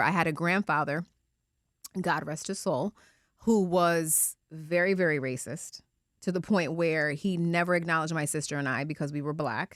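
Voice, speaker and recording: A woman's fairly low voice, fairly quick in pace, with ordinary pitch variation. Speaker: media executive. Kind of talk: casual chat. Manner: loud; passionate, strong tone.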